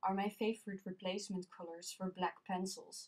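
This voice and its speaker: A woman with a Dutch accent speaks at a medium pitch. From Netherlands. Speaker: colored pencil artist. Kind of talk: tutorial narration.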